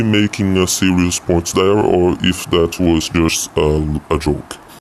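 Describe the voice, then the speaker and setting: Noticeable background noise sits behind a man with a very deep, low pitch. He speaks at a fairly slow pace with ordinary pitch variation. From Brazil. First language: Portuguese. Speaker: YouTube commentator. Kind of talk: video commentary.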